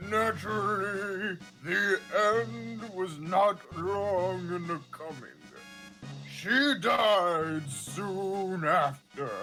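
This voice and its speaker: Over clear music in the background, a man puts on a character voice, high-pitched and delivered at a very slow pace. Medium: game stream. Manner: formal.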